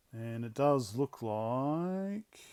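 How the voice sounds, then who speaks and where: On a very clean recording with a silent background, a man with an Australian accent speaks with lively intonation. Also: dry, close sound with no echo. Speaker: electronics hobbyist YouTuber. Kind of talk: hands-on tutorial. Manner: halting, thinking aloud.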